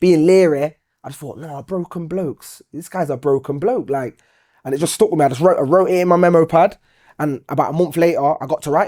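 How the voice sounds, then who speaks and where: A man with a Nottingham accent, a dark, mellow tone, fairly high pitch, a very fast pace, and big swings in loudness. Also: ordinary pitch variation. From Nottingham, St. Ann's. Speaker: poet and musician. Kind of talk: interview answer. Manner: casual, conversational.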